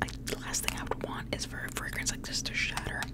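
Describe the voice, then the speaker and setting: A woman whispers. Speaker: ASMR creator. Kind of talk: ASMR whisper ramble, fragrance review to camera. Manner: whispered, soft, chatty. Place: home room. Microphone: studio mic.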